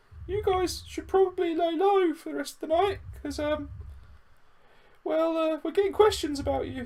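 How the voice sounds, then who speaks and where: A woman uses a put-on character voice, squeaky and extremely high in pitch, at a moderate pace. Her loudness swings widely, and she leaves long, frequent pauses. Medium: actual play. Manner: nervous.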